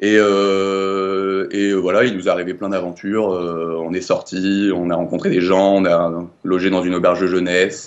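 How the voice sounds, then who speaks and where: A man's very deep, low voice at a fairly slow pace, monotone and flat, with hardly any pauses. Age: 20s. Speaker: law student, former volunteer teacher abroad. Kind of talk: interview testimony. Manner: hesitant, many fillers and repetitions.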